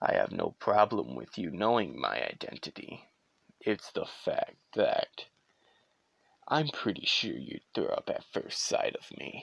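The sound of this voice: A man's raspy, put-on character voice at a fairly slow pace, with a dry, close sound and no echo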